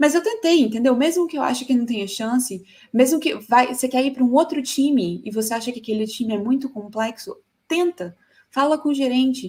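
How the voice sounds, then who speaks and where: A woman with a high voice talks fairly quickly, her intonation lively. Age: 30s. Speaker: tech conference speaker. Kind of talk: conference talk.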